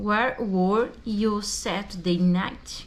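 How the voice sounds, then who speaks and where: A woman at a very slow pace, with audible room echo around her voice. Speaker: language student and English teacher. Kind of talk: tutorial. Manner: casual.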